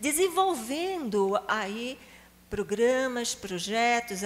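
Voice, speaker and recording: A woman with a Recife accent speaks very slowly at a fairly high pitch with very wide pitch swings. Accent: Pernambuco (Recife). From Brazil, Recife (Pernambuco). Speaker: psychologist and charity founder. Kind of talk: talk to a prayer group.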